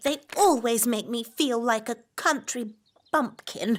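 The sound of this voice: A female-sounding cartoonish character voice, fairly high in pitch, moves at a fairly slow pace.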